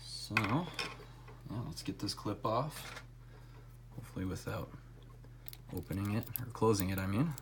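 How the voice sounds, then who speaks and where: The mumbled speech goes at a moderate pace, broken by long, frequent pauses. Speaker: lock picking hobbyist. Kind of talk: casual tutorial demonstration. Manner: mumbling; trying to talk louder.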